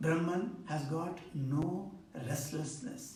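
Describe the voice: A man with an Indian accent speaks at a slow pace and a fairly high pitch. Strong room echo surrounds his voice.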